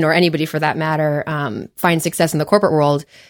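The woman's pitch sits very deep and low, and her intonation stays fairly even. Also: very clean recording, silent background. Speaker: team member, director of member success. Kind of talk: casual chat. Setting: studio.

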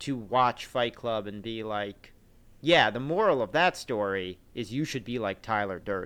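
The recording is very clean with a silent background. A man speaks in a normal speaking voice at a medium pitch. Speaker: podcast host. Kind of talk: casual podcast chat.

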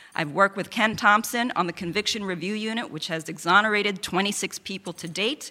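A woman with an American accent talks at a fairly quick pace with hardly any pauses, her bright, sharp, medium-pitched voice showing ordinary pitch variation and big swings in loudness. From Queens, New York. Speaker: lawyer, district attorney candidate. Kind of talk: candidate debate. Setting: event hall with audience.

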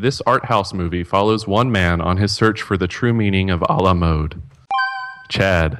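Noticeable background noise sits behind a man with a fairly low voice. He speaks at a moderate pace with ordinary pitch variation. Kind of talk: game show host reading trivia clues. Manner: animated, laughing, scorekeeping.

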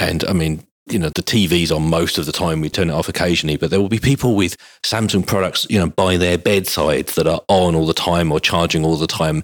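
A man with a very deep, low pitch speaks in a British accent at a very fast pace. His intonation is fairly even and his loudness very even. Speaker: mobile tech podcast host. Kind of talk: casual chat. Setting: studio recording venue.

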